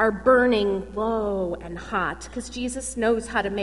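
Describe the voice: Simply plain reading aloud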